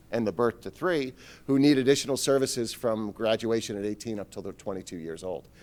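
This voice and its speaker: A man races along at a very fast pace, his pitch medium with ordinary pitch variation. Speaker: school superintendent. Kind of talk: budget presentation to parents.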